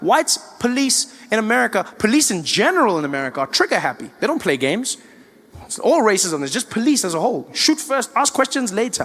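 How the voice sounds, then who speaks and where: Speaking at a very fast pace with a South African accent, a man uses an extremely high pitch and very wide pitch swings. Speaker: stand-up comedian. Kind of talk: live stand-up comedy.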